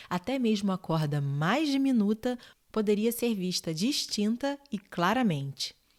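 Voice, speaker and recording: In a very clean recording with a silent background, a soft-spoken woman with a calm tone talks fairly slowly at a medium pitch, her pitch swinging very widely. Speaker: bedtime story narrator. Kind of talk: sleep story reading. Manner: soft-spoken, calm.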